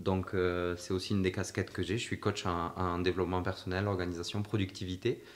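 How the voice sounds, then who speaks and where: A man speaks at a moderate pace. His voice is very deep and low. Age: 20s. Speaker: podcast host and personal development coach. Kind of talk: casual interview chat.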